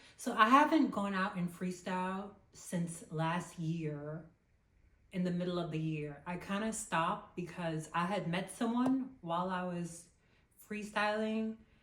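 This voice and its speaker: Audible room echo surrounds a woman speaking in an animated tone, at a fairly slow pace and medium pitch. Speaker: lifestyle vlogger. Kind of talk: casual vlog talk to camera.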